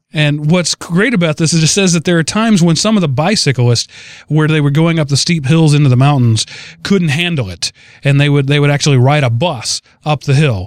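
A man with a plain, everyday voice talks at a fairly quick pace, pitched fairly high with ordinary pitch variation. The sound is dry and close, with no echo. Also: very even loudness. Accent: American. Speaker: podcast host. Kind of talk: casual chat.

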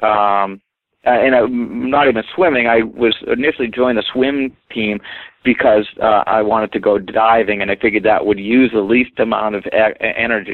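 A man's medium-pitched voice in a New England accent. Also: fairly even intonation, moderate pace. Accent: New England American. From Maine, US (Portland). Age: 50s. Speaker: weight-loss marathon runner. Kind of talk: interview.

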